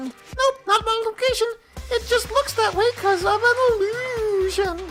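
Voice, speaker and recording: A squeaky put-on character voice with an extremely high pitch. It moves at a moderate pace. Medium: game stream. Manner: playful, teasing.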